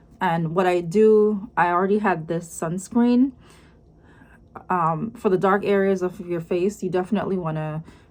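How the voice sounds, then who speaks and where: A woman with a strong Jamaican accent and medium pitch speaks at a moderate pace with fairly even intonation. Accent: heavy Jamaican. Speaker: lifestyle vlogger. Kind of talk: casual vlog talk to camera.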